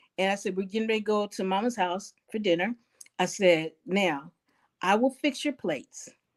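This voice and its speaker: A woman speaks in a plain, everyday voice at a moderate pace. The sound is dry and close with no echo. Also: medium pitch for a woman, ordinary pitch variation. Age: 60s. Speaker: elder interviewee. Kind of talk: life story interview. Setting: living room.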